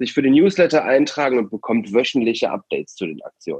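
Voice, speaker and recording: Heard with a dry, close sound and no echo, a man with an ordinary speaking voice talks at medium pitch with lively intonation. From Aachen, Germany. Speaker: youth arts programme leader, podcast host. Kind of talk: casual podcast chat.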